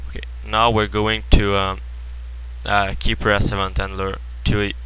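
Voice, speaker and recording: With a very deep, low pitch and very wide pitch swings, a man speaks fairly slowly over noticeable background noise. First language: French. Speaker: programming tutorial creator. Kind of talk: screen-recorded coding tutorial. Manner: hesitant, many filler words.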